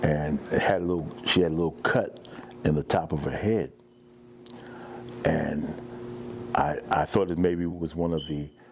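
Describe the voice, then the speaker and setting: A man speaks at a moderate pace with a very deep, low pitch. His pitch varies in an ordinary way, and he leaves long, frequent pauses. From US Northeast, Jersey City, New Jersey. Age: 60s. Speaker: fire survivor. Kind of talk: testimony. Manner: halting.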